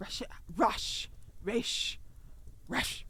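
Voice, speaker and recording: A man puts on a character voice with an extremely high pitch. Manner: barking.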